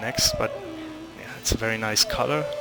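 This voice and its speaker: A man with a non-native accent at a moderate pace, music in the background. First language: not English. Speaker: gaming youtuber. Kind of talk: gameplay commentary. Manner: halting, searching for words; casual, unscripted. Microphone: poor quality microphone.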